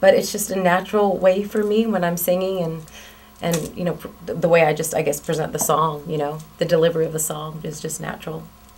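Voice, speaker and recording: Speaking at a fairly quick pace, a woman uses a fairly low pitch and fairly even intonation. There is audible room echo along with noticeable background noise. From South Florida. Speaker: country singer. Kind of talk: interview. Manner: casual, with fillers.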